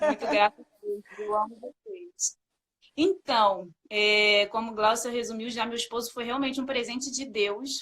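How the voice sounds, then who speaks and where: At a fairly slow pace, a woman with a Rio de Janeiro accent speaks in a bright, sharp tone, the sound dry and close with no echo. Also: fairly high pitch for a woman, ordinary pitch variation. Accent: carioca accent, hissing s. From Rio de Janeiro, Brazil. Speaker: sales supervisor sharing testimony. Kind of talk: testimony. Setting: live video call.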